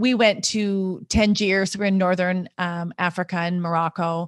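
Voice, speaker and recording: A woman with an American accent speaks at a medium pitch and moderate pace in an ordinary speaking voice. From US Upper Midwest, North Dakota. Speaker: intercultural consultant. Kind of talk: interview.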